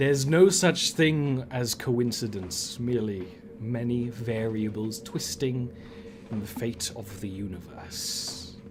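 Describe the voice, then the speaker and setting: A man puts on a guttural character voice at a medium pitch and a fairly slow pace. Clear background noise can be heard. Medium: actual play. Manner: formal, measured, aloof.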